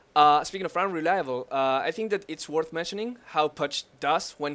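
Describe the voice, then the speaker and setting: Speaking at a fairly quick pace, the man has a non-native accent. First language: not English. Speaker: gaming analyst. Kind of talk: casual chat.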